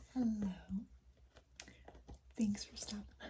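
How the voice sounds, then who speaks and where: Soft-spoken and whispering, the speaker goes at a very slow pace over noticeable background noise. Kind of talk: casual talk to camera. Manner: soft-spoken, whispered.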